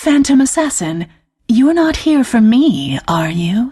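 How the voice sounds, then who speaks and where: A woman uses a put-on character voice and speaks at a fairly slow pace. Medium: machinima. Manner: sly, probing.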